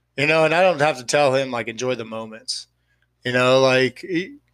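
A man with an American accent speaks in a normal speaking voice at medium pitch and a moderate pace, on a very clean recording with a silent background. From Austin, Texas. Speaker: guest, friend of the show. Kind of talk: casual chat, serious discussion about grief.

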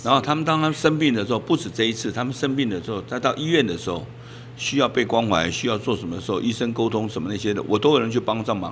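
At a very fast pace, a man talks in a medium pitch against noticeable background noise. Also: lively intonation. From Taiwan, Taipei Wanhua. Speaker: neighborhood chief. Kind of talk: interview. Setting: on location in community.

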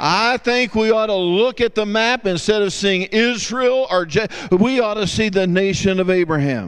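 A man's high-pitched voice at a moderate pace, with hardly any pauses and very even loudness. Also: ordinary pitch variation. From US South. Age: 50s. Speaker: guest preacher. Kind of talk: sermon.

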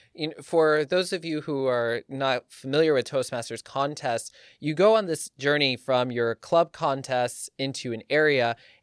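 A man's normal speaking voice, fairly high in pitch with ordinary pitch variation, fairly slow with hardly any pauses, on a very clean recording against a silent background. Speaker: podcast host. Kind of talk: casual podcast chat. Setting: studio.

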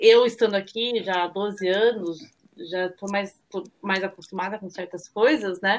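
A woman with a normal speaking voice talks at a fairly slow pace, her medium pitch carried on fairly even intonation. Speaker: nonprofit worker, mother. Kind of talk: casual chat.

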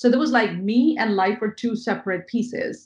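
A woman's fairly high, somewhat breathy voice with an Indian accent, fairly even intonation and a moderate pace against a quiet background. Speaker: mindset coach. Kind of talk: interview.

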